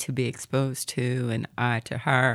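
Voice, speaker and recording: With vocal fry, a woman speaks at a very deep, low pitch. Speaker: banker and nonprofit founder. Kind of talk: casual chat.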